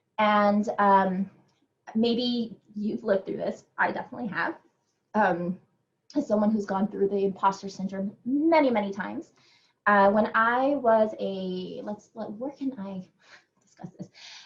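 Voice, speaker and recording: Speaking at a fairly slow pace, a woman with a medium pitch and a somewhat breathy voice uses ordinary pitch variation, her loudness swinging widely. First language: not English. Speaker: educator and conference speaker. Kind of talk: conference talk. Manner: hesitant, many fillers.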